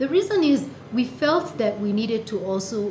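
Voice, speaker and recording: A woman speaks over noticeable background noise. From Kenya, Nakuru. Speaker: startup co-founder. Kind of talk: interview. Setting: studio.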